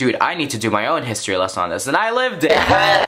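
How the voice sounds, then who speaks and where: In an Arabic accent, a man speaks with an animated tone. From Libya, Tripoli. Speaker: YouTuber. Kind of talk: casual vlog storytelling.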